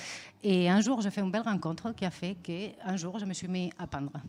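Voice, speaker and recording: A dark, mellow tone with a Spanish accent, moderate pace and ordinary pitch variation, on a very clean recording with a silent background. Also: woman. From Spain. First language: Spanish (speaking French). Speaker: visual artist. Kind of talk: interview. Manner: hesitant, many fillers.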